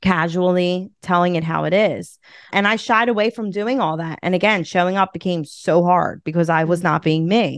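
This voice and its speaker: A woman's medium-pitched voice at a moderate pace, with ordinary pitch variation and a dry, close sound with no echo against a quiet background. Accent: Philadelphia. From Philadelphia. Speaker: podcast host and community leader. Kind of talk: casual interview chat.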